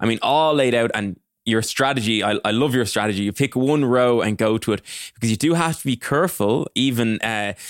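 In a very clean recording with a silent background, a man speaks at medium pitch with ordinary pitch variation in a normal speaking voice. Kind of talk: casual interview chat.

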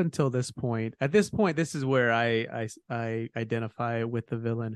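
Against a quiet background, a man uses a normal speaking voice at a moderate pace, medium pitch, and ordinary pitch variation. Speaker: podcast host. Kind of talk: casual informative chat.

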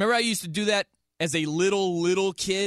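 With an American accent, a man talks at a moderate pace in a high pitch, recorded very cleanly against a silent background with a dry, close sound and no echo. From US Midwest (South Bend, Indiana). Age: 30s. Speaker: sports radio host. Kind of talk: sports talk radio. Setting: radio studio.

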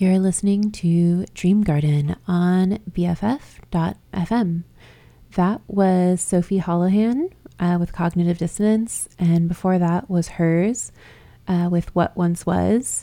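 A woman with a fairly low pitch and dark, mellow tone, very slow in pace, with very even loudness and fairly even intonation. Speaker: radio host. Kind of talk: radio DJ patter, casual show intros between songs. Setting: radio studio broadcast. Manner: laid-back, filler-heavy with frequent 'um' and 'uh', gently chatty; warm, friendly, slightly hesitant.

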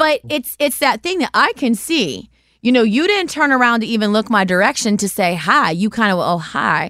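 With a fairly high pitch and very wide pitch swings, a woman talks at a moderate pace in an animated, bright, sharp tone on a very clean recording with a silent background. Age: 40s. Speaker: podcast host. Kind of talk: casual chat.

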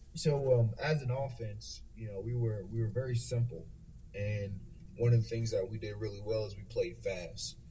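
In an American accent, a man talks at a moderate pace with medium pitch, fairly even intonation and a somewhat breathy sound. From North Carolina. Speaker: college football coach. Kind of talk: coaching interview.

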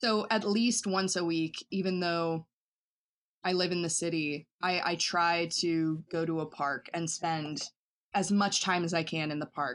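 With an American accent, a woman talks at a fairly slow pace in a fairly low pitch, using fairly even intonation. It's a normal speaking voice, set against a quiet background. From US South, western North Carolina. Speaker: performance artist. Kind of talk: casual interview.

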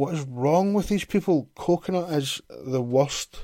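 In a Glaswegian accent, a man speaks with a dark, mellow tone and lively intonation. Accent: Glaswegian Scottish. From Scotland, Glasgow. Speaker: podcast host. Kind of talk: reading aloud with casual commentary. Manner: sarcastic, sweary asides.

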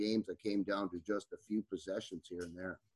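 A man with a fairly low voice speaks in an Upper Midwest accent, his intonation flat and monotone. The sound is dry and close, with no echo. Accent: Upper Midwest (Minnesota). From northern Minnesota, Iron Range. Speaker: high school basketball coach. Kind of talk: podcast interview.

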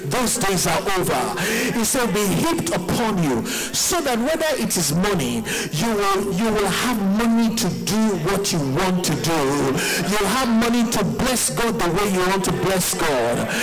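Over noticeable background noise, a man speaks fairly slowly at a high pitch with lively intonation. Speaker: pastor leading prayer. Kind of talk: fervent congregational prayer with shouted declarations. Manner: impassioned, rising exhortation piling up blessings; call-and-response, urging listeners to repeat amen.

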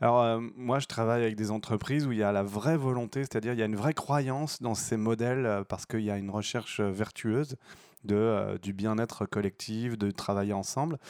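The recording is very clean, with a silent background. A man talks at a fairly quick pace in a plain, everyday voice. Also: medium pitch for a man, fairly even intonation. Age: 40s. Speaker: actor and governance consultant. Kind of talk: casual chat.

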